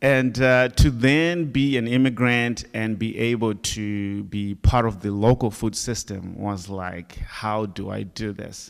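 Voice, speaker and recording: On a very clean recording with a silent background, a man with a Zimbabwean accent speaks at a medium pitch and a very slow pace, with ordinary pitch variation and big swings in loudness. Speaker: farmer and business owner. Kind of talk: panel discussion.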